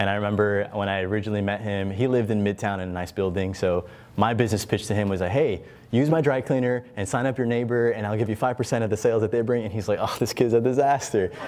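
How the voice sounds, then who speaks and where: Talking at a very fast pace, a man with an American accent keeps a fairly low pitch and fairly even intonation. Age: 20s. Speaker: entrepreneur and investor. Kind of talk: panel discussion.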